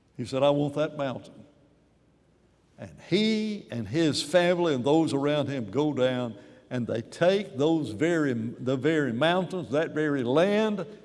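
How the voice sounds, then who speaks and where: The speaker goes at a fairly slow pace with lively intonation and audible room echo. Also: man. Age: 80s+. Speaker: preacher. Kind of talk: sermon.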